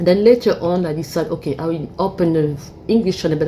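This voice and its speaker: Over noticeable background noise, a woman with a French accent speaks very fast at a fairly low pitch. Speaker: YouTuber. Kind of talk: casual monologue commentary. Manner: halting.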